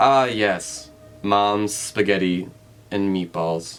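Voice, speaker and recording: A soft-spoken, robotic put-on character voice from a man, fairly low in pitch and very slow. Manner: soft, robotic, flat.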